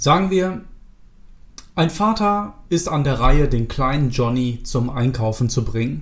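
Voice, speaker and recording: A man's fairly high, somewhat breathy voice at a fairly slow pace, with audible room echo. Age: 30s. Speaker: self-improvement podcast host. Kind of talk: solo podcast monologue. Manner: casual with filler words.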